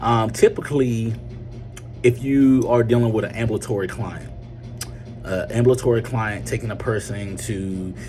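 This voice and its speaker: A man with a North Carolina accent speaks at a moderate pace and medium pitch, with fairly even intonation, long, frequent pauses and music in the background. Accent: Southern US, North Carolina. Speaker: medical transportation business owner. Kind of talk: casual video talk, business advice. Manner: hesitant, many fillers.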